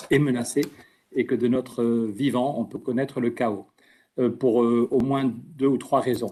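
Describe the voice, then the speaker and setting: The tone is dark and mellow. Intonation stays flat and monotone. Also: man. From French Basque Country. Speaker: politician. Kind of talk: conference talk. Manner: fast; talkative, with hesitations.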